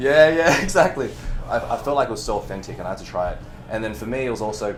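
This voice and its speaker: An animated, very fast man's voice at medium pitch with very wide pitch swings, amid noticeable background noise and audible room echo. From Chinese background, raised in the West. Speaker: movement coach. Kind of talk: casual chat.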